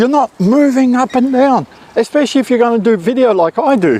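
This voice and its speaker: Against noticeable background noise, a man's extremely high voice comes through dry and close, with no echo. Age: 60s. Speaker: photography youtuber. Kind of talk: tutorial. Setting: outdoors. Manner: casual, chatty.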